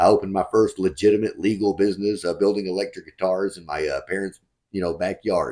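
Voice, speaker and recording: A man's fairly low, dark and mellow voice with a Southern US accent, very fast, fairly even in intonation yet with big swings in loudness, on a very clean recording with a silent background. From West Texas. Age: 40s. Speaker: real estate fund manager. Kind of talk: interview. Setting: call.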